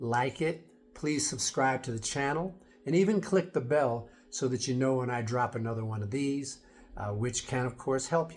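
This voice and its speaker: Somewhat breathy, a man with an American accent speaks at a medium pitch and moderate pace with ordinary pitch variation. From United States. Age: 60s. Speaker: fitness and wellness vlogger. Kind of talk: casual vlog talk to camera. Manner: conversational, with fillers.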